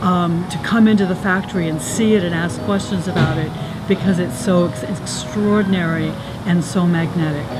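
Noticeable background noise accompanies a woman speaking at a moderate pace with ordinary pitch variation. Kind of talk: casual vlog chat. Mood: enthusiastic, admiring. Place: factory.

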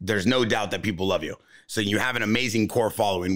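A man's fairly low voice at a very fast pace, against a quiet background. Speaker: podcast host. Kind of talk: casual chat. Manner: animated. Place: studio. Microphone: studio mic.

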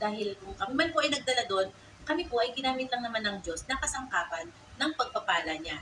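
A woman speaks at a fairly quick pace with a warm tone and very wide pitch swings. Noticeable background noise sits behind her. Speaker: salon owner and vlogger. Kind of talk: vlog narration. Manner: polite and warm.

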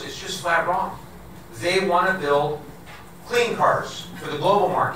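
In a raised, projected voice, a man speaks at a moderate pace with lively intonation, amid audible room echo and light background noise. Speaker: politician at a town hall. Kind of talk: public speech. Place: hall.

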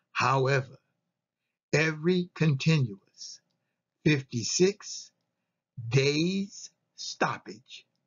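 A man talks at a very slow pace, leaving long, frequent pauses. His fairly high voice has lively intonation and a fairly bright tone.

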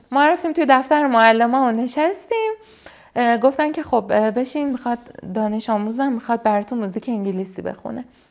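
This man's pitch is extremely high, with long, frequent pauses. The background is quiet. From Iran. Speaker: singer. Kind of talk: interview answer. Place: home room. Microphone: lapel.

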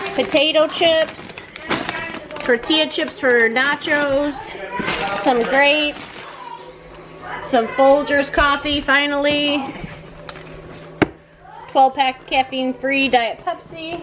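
A woman's high voice at a very slow pace, fairly even in intonation, with long, frequent pauses and noticeable background noise. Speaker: mom vlogger. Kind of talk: casual vlog chat. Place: home room. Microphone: phone near.

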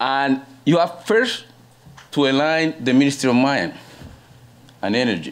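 Over noticeable background noise, a man with a fairly high voice and lively intonation speaks at a moderate pace, leaving long, frequent pauses. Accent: Spanish. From Colombia. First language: Spanish. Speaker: panelist. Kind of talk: conference presentation. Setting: stage with audience.

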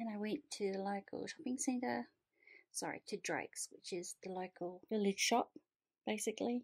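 Over a quiet background, a woman talks at a moderate pace with lively intonation. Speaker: vlogger. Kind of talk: casual vlog chat. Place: home room. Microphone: phone near.

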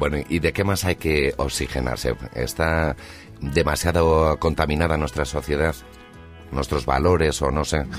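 A man's very deep, low voice at a fairly slow pace, with very even loudness, fairly even intonation, a dry sound with no echo and faint music in the background. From Spain. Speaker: radio host. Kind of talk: radio interview, casual talk. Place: studio.

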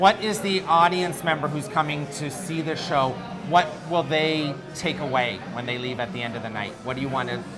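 The speech moves at a moderate pace over clear music in the background. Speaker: show host interviewer. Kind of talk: interview questions and promo. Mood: cheerful, laughing. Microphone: lapel.

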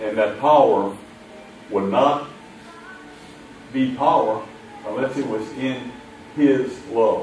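A man talks at a very slow pace with fairly even intonation. Music plays in the background, and room echo is audible. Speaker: preacher. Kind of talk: sermon. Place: church.

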